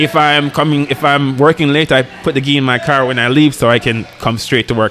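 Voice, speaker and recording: Over background music, a man rattles along at a very fast pace with hardly any pauses and fairly even intonation. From rural Jamaica. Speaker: hospital resident doctor, jiu-jitsu practitioner. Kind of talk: casual podcast chat. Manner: halting, many self-restarts.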